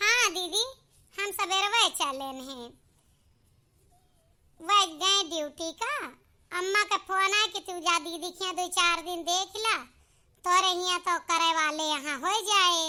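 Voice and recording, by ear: In a cartoonish character voice, a woman squeaks at an extremely high pitch, talking at a fairly slow pace with long, frequent pauses.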